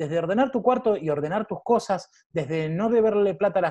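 A man speaks at a high pitch. His pitch swings very widely. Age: 30s. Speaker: programming school founder and freelancer. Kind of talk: interview.

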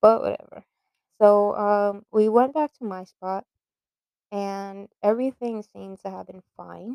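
In a dry, close sound with no echo, a woman with a New York accent speaks fairly slowly in a dark, mellow tone at a medium pitch, her intonation fairly even but her loudness swinging widely. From New York (Bronx). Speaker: podcaster. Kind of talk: personal storytelling monologue. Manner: hesitant, many fillers.

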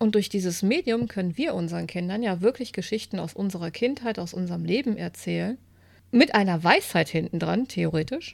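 A woman talking at a fairly quick pace on a very clean recording with a silent background. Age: 40s. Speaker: podcast co-host. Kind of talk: casual chat. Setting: home living room.

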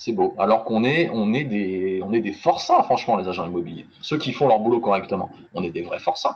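An ordinary speaking voice from a man, medium in pitch, fairly quick, with lively intonation. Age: 20s. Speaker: real estate negotiator and life annuity expert. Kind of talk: interview. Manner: casual.

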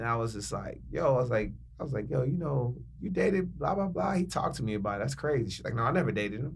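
A man speaks at a very fast pace and medium pitch, with very wide pitch swings and vocal fry. Audible room echo surrounds his voice. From Chicago. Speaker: radio personality. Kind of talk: casual chat. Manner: animated.

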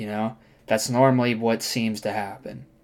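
An ordinary speaking voice from a man at a moderate pace, with fairly even intonation. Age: 20s. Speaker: solo podcaster. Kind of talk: casual monologue. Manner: casual, slangy.

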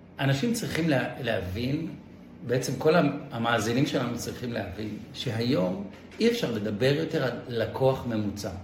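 The recording has audible room echo and noticeable background noise. A man talks at a moderate pace and medium pitch, with ordinary pitch variation. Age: 40s. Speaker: investment manager. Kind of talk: interview.

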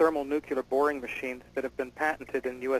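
In a plain, everyday voice, a man talks with fairly even intonation at a fairly high pitch, the sound dry and close with no echo. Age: 30s. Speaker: UFO researcher. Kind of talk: radio interview.

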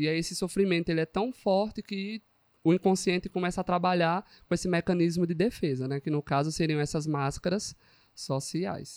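A man with a Pernambuco accent and a high pitch at a moderate pace, dry and close with no echo, in a very clean recording with a silent background. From rural Pernambuco, Brazil. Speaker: psychologist. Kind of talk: casual chat.

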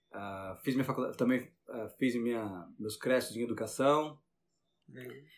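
A man with a Brazilian accent talks at a moderate pace and a medium pitch. His loudness swings widely while his pitch varies in an ordinary way. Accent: Brazilian accent when speaking English. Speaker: science teacher. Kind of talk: interview. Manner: halting, repeats words.

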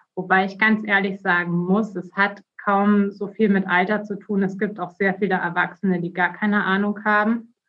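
A woman speaks at medium pitch and a moderate pace. Her intonation is flat and monotone, with hardly any pauses. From Bavaria, Germany. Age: 30s. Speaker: politician, election candidate. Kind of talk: interview.

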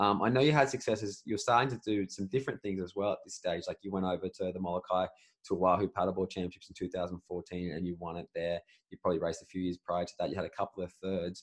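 Very deep and low in pitch, a man speaks at a very fast pace with ordinary pitch variation. The sound is dry and close with no echo. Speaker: podcast host. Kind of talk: interview, conversational.

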